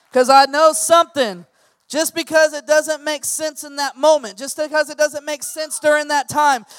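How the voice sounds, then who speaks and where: A man with an extremely high pitch for a man and an animated tone, in a dry, close sound with no echo, over music in the background. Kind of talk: sermon. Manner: animated, call-and-response, rhythmic repetition urging the congregation to say amen.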